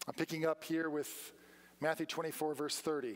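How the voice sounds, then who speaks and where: A man is talking. His speech moves at a fairly slow rate. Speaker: preacher. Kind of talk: sermon. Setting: church. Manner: rhetorical, engaging questions to congregation, call-and-response; earnest, emphatic, direct appeals. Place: church. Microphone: podium.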